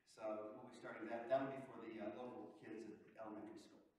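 Strong room echo and light background noise surround a man speaking with ordinary pitch variation. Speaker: minister. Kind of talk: church announcements. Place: church.

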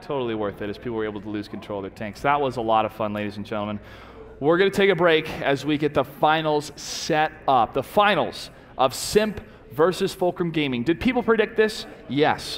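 A man talks at a fairly quick pace with a fairly high pitch and very wide pitch swings. Noticeable background noise is present. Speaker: esports caster. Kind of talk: live commentary. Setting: studio. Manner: animated.

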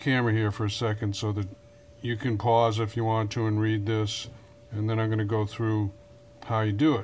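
A man's speech moves along at a moderate pace. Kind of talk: tutorial. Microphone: phone near.

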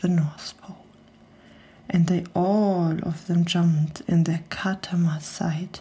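Soft-spoken and somewhat breathy, a woman talks at a very slow pace in a gentle tone that is dark and mellow. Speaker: storyteller. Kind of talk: reading aloud a rhyming story. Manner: soft-spoken, gentle bedtime reading voice. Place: studio. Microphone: studio mic.

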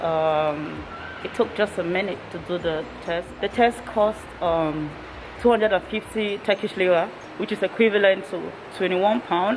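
Noticeable background noise runs behind a woman who talks at a moderate pace. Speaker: travel vlogger. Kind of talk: casual vlog chat. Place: hall. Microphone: phone near.

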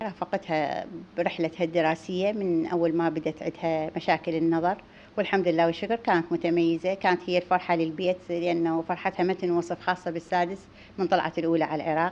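At a moderate pace, a woman with a southern Iraqi accent speaks in a fairly low, monotone, flat voice with very even loudness over light background noise. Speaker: mother of interviewee; interviewee. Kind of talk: interview. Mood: proud, emotional. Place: home room. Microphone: handheld.

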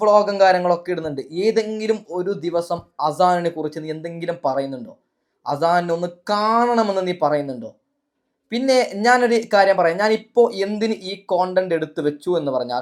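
This man's voice sits high in pitch, with an animated tone and lively intonation. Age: 20s. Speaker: YouTube vlogger. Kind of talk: commentary vlog.

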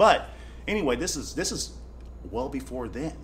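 A man with an American accent speaks amid audible room echo. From US Midwest, small-town Kansas. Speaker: bare-knuckle fighter. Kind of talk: casual interview. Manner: animated.

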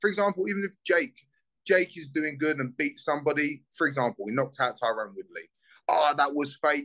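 With a South London accent, a man speaks in an animated, bright, sharp tone at a fairly quick pace, with ordinary pitch variation and a quiet background. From Southeast London, England. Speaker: bare knuckle fighter; guest. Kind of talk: casual interview. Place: home room. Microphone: video call.

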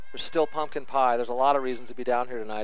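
A man with a medium-pitched voice talks very fast in an animated tone, the sound dry with no echo. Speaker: color commentator. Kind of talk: live sports commentary, analysis. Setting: press box at a soccer field. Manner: animated, louder on goals. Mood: pleased, upbeat. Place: stadium.

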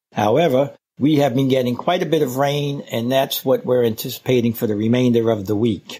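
A man speaks with an American accent. His pitch variation is ordinary. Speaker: beekeeper. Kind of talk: recorded field report.

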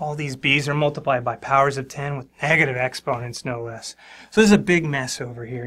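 The tone is bright and sharp. The pace is very fast. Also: man. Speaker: math teacher. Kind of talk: tutorial. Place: studio.

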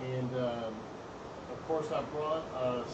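A man at a fairly slow pace over loud background noise. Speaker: hobby musician streamer. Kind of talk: casual vlog chat. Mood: relaxed, on vacation. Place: street.

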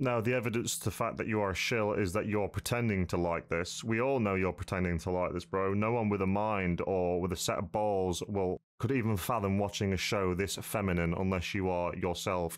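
At a moderate pace and with hardly any pauses, a man speaks in a very deep, low pitch, his loudness very even and his intonation fairly even. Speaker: YouTuber reacting to a video. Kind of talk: informal slang. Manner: blunt, sweary, casual. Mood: angry, contemptuous.

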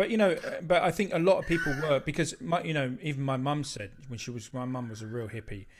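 A man's fairly high voice at a very fast pace, with lively intonation, big swings in loudness, hardly any pauses and noticeable background noise. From southeast England. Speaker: music channel host. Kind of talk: casual chat. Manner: halting. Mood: warm, reminiscing. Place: home room.

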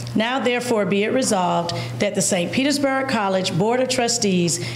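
A woman talks at a moderate pace. Light background noise and audible room echo are present. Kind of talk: formal reading of a resolution. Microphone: podium.

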